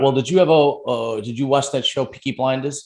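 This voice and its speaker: This man talks in a Brooklyn accent. His pitch varies in an ordinary way. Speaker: podcast host. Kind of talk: casual interview chat. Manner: animated.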